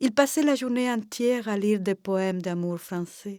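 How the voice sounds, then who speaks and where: Recorded very cleanly against a silent background, a woman at medium pitch uses a normal speaking voice with lively intonation and a dry, close sound with no echo. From Cuba. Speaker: storyteller. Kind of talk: oral folk tale telling.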